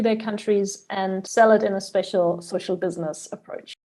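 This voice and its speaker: A woman with a German accent speaks in a dark, mellow tone with ordinary pitch variation. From Germany. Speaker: biogas entrepreneur. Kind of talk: interview podcast.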